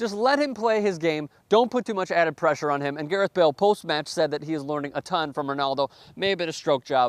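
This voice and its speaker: A man talks very fast at a fairly high pitch, with an animated tone and lively intonation. The sound is dry and close with no echo, and the background is quiet. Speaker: sports show host. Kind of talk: casual match recap. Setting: outside the studio.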